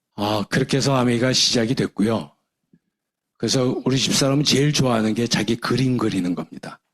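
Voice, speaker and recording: In a normal speaking voice, a man talks at a fairly quick pace and medium pitch with ordinary pitch variation. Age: 60s. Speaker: retired professor and business leader. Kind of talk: seminar lecture.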